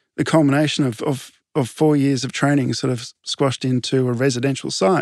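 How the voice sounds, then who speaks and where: A man at medium pitch with an Australian accent, at a fairly quick pace, in a dry, close sound with no echo and a quiet background. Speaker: landscape architect. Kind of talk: interview. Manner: animated.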